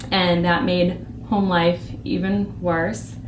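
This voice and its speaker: Over noticeable background noise and audible room echo, a woman with an American accent speaks at a fairly low pitch. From Boston, US. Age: 20s. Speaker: church member giving testimony. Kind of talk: testimony. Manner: halting, with fillers.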